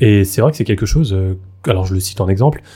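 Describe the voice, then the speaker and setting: A man's dark, mellow tone, fairly low in pitch and somewhat breathy, with ordinary pitch variation. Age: 20s. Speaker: layperson returning to faith. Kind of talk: casual chat.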